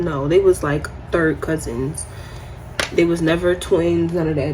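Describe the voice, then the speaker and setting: A soft-spoken woman with an American accent talks at a fairly slow pace. The room echo is audible, and background noise is noticeable. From New York. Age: 20s. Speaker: beauty vlogger. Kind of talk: casual chat.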